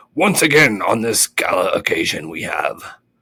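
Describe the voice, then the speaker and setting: A man puts on a raspy character voice and speaks at a moderate pace. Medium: read story.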